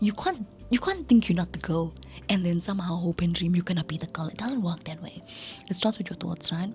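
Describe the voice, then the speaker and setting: A woman whispering at a fairly quick pace, with big swings in loudness and noticeable background noise. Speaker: content creator. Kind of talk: casual vlog talk. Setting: at home at night.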